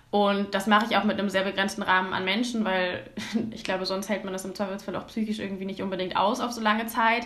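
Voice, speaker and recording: Over audible room echo, a woman talks at a very fast pace in a monotone, flat voice of medium pitch. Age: 20s. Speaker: climate activist and student. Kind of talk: casual interview. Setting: video call. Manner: hesitant, many fillers.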